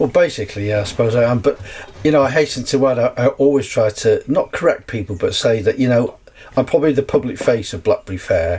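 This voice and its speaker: Over noticeable background noise, a man races along at a very fast pace. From North Wales. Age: 60s. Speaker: actor and festival organiser. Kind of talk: casual podcast interview. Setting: on a canal boat.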